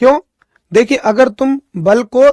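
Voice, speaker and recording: A man is speaking. His pace is fairly slow. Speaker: physics teacher. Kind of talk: lecture. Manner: not loud.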